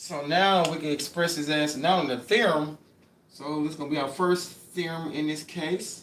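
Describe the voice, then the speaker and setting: A man talks at a moderate pace with a fairly high pitch and fairly even intonation, over noticeable background noise. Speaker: math tutor. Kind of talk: livestream lecture. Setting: livestream with camera. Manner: casual, repetitive.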